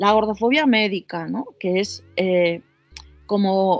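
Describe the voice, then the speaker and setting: A woman's medium-pitched voice with music in the background. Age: 40s. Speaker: psycho-body therapist and sex coach. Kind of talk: interview. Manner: halting.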